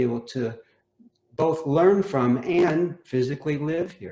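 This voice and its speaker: In an American accent, a man speaks at a fairly high pitch with a dark, mellow, somewhat breathy tone and ordinary pitch variation. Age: 60s. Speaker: homeowner. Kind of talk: casual chat. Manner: halting.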